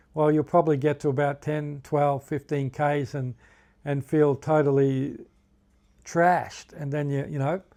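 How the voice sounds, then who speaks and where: In a very clean recording with a silent background, a man speaks with a fairly high pitch and an Australian accent. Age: 60s. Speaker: hiking vlogger. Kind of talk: casual tutorial. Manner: halting, self-correcting.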